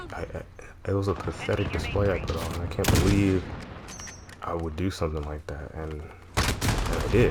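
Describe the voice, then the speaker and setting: Amid noticeable background noise and audible room echo, a man with a very deep, low pitch talks at a moderate pace with lively intonation. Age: 20s. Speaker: gaming vlogger. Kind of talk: personal confessional monologue. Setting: talking over gameplay recording.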